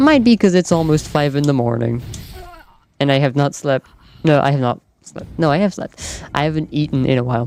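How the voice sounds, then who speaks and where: Speaking at a fairly quick pace with a slight French accent, a woman uses a very deep, low pitch with ordinary pitch variation. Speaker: gaming streamer. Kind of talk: casual live-stream chat.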